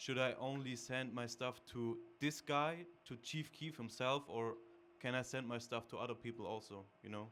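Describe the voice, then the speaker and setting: A man's medium-pitched voice in a German accent, at a moderate pace with fairly even intonation. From Germany. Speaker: audience member, beatmaker. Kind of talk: audience question. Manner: halting.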